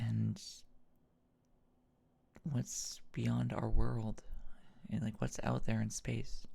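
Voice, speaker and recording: This soft-spoken voice moves at a very slow pace, broken by long, frequent pauses. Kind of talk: casual late-night monologue.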